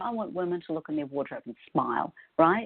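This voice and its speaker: Very fast speech comes from a woman with a New Zealand accent. Her pitch swings very widely. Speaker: style consultant. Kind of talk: podcast interview.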